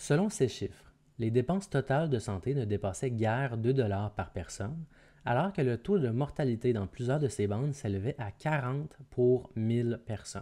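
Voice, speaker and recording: Somewhat breathy, with a dark, mellow tone, a man speaks at medium pitch with lively intonation. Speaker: audiobook narrator. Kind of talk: literary audiobook reading of a historical report, formal and solemn, scripted narration. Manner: formal; slow, measured and even, deliberate pacing.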